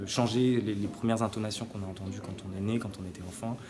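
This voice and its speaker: Amid noticeable background noise and audible room echo, a man talks at a fairly low pitch. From southern France, near Nîmes. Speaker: actor and playwright. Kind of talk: interview. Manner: halting, with many fillers and repetitions.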